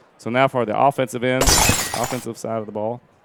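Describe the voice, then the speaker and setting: A man's flat, monotone intonation comes through amid noticeable background noise. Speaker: sports commentator, teacher. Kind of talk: live sports commentary. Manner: fast.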